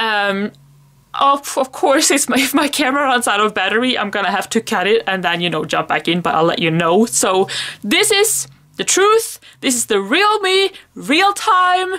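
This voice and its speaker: A woman with a Swedish accent, fairly high and bright, sharp in tone, with very wide pitch swings at a moderate pace. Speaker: planner vlogger. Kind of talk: casual chat. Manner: halting.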